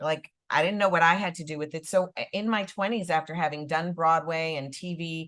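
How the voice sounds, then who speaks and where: This woman has an ordinary speaking voice with an American accent, set at a fairly low pitch. She talks at a moderate pace with ordinary pitch variation, on a very clean recording with a silent background. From US Midwest, Chicago. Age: 60s. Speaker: actress and author. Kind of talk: panel interview. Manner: casual, conversational.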